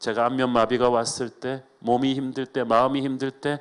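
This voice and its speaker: This is a man speaking at a medium pitch. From South Korea, emigrated to US as teen. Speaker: pastor. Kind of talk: sermon. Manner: fast.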